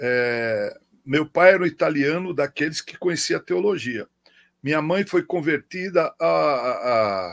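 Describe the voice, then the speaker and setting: A man with fairly high pitch at a fairly slow pace, an ordinary speaking voice, dry and close with no echo, on a very clean recording with a silent background. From Brazil, São Paulo. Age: 60s. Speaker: pastor. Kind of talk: interview.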